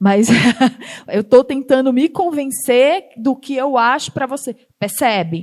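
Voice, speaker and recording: Lively in intonation, a woman speaks at a high pitch and a very slow pace. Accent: northeastern Brazilian. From Northeast Brazil. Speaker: startup founder and CEO. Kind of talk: talk to an audience.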